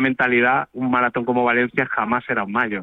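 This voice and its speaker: An unremarkable speaking voice. The pace is fairly quick. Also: man. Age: 40s. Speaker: paralympic marathon runner. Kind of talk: phone interview.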